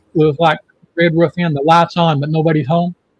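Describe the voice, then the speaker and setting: Fairly even intonation in a man's high voice. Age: 60s. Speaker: livestream show host. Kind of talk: casual chat.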